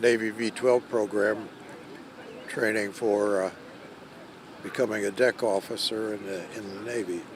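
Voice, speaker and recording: Speaking flat and monotone at a fairly slow pace, a man is heard over noticeable background noise. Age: 80s+. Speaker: war veteran. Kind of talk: news interview. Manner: halting.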